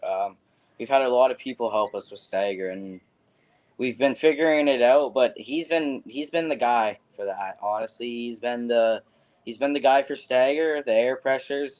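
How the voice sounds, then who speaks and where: In a Canadian accent, a man with an unremarkable speaking voice talks at a moderate pace and medium pitch. His loudness swings widely while his pitch varies in an ordinary way. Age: young. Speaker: stock car racer. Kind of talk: interview answers.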